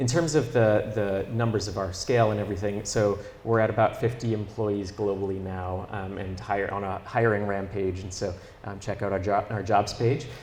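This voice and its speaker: A man with a somewhat breathy, fairly low voice talks at a moderate pace with fairly even intonation, and audible room echo surrounds him. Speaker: company co-founder. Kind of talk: interview. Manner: hesitant with many fillers.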